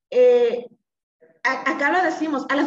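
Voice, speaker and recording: A woman with a Mexican accent. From Mexico, Colima. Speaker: party official. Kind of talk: podcast panel discussion.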